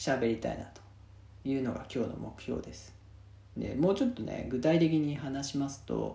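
In a room with audible echo, a man speaks in a relaxed, dark, mellow tone that is somewhat breathy. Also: medium pitch for a man, ordinary pitch variation, moderate pace, big swings in loudness. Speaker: podcast host. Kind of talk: casual monologue. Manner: relaxed, many fillers.

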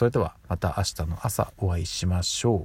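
A man speaks with a very deep, low pitch and a dark, mellow tone, somewhat breathy, on a very clean recording with a silent background. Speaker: podcast host. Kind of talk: casual solo monologue. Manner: frequent filler hesitations.

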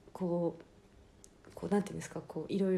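Her dark, mellow tone is somewhat breathy, and the woman speaks at a moderate pace with fairly even intonation at a medium pitch. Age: 20s. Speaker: podcast host and adult film actress. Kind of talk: casual solo talk. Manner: frequent laughter.

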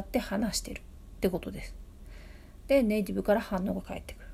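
A woman is speaking. The recording is very clean, with a silent background. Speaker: podcast host, tutor and translator. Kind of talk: casual solo talk answering listener mail. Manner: halting, many fillers.

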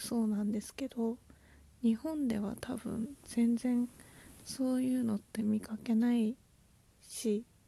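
Soft-spoken and very slow, a woman talks at a fairly high pitch in a dark, mellow tone, with monotone, flat intonation and long, frequent pauses. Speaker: podcaster and aspiring potter. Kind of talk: casual solo talk.

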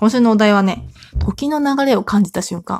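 A somewhat breathy woman with a fairly high pitch at a moderate pace, in a dry, close sound with no echo. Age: 30s. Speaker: solo podcaster, mother of three. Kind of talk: casual solo talk. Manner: chatty, filler-heavy.

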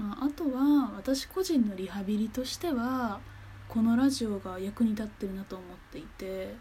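A woman with a fairly high pitch and a dark, mellow, somewhat breathy tone speaks at a moderate pace, her loudness swinging widely. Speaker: podcaster. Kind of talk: casual monologue. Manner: animated.

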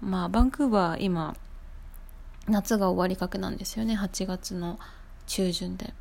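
A woman talks at a fairly slow pace in a normal speaking voice, with medium pitch and ordinary pitch variation. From Japan. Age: 20s. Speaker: podcaster. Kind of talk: casual solo podcast talk.

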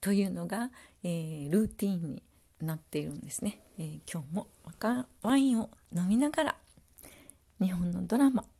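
A woman with a medium-pitched, somewhat breathy voice speaks at a moderate pace in a dark, mellow, relaxed tone, her pitch swinging very widely and her loudness rising and falling a lot. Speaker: podcaster. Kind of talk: casual solo talk. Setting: at home. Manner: relaxed, many fillers.

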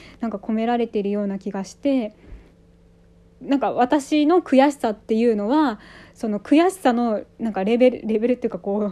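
A woman's fairly high voice, dark and mellow in tone, with ordinary pitch variation. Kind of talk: solo monologue. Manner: fast; halting.

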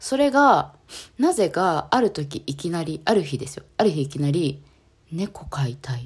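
This woman's voice is very deep and low, somewhat breathy, with very wide pitch swings. She sounds animated and speaks at a fairly slow pace. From Japan, Kanagawa. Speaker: street dancer and yoga practitioner. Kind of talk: casual solo podcast talk. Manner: animated, frequent laughter; hesitant with fillers.

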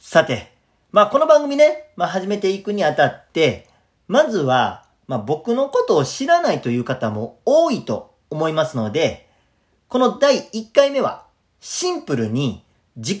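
In a Kansai accent, a man speaks at a fairly slow pace with a high pitch and very wide pitch swings. The recording is very clean, with a silent background. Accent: Kansai (Osaka) dialect. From Osaka, Japan. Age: 30s. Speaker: comedian and radio host. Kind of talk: casual solo talk, self-introduction. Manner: animated, nervous, chatty.

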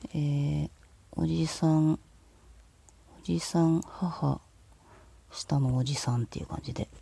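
Delivery is very slow, with long, frequent pauses. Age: 40s. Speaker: solo podcaster. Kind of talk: casual solo monologue. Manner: low-key.

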